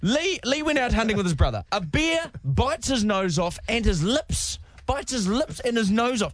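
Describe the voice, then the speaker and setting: Against a quiet background, a man speaks at a moderate pace in an animated tone with very wide pitch swings. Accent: New Zealand. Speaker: radio host. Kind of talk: casual chat.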